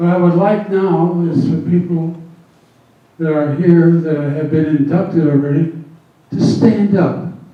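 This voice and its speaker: A man speaks at a fairly slow pace and a high pitch, with long, frequent pauses and fairly even intonation. Audible room echo and noticeable background noise are present. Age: 60s. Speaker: retired teacher, hall of fame committee member. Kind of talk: ceremony speech.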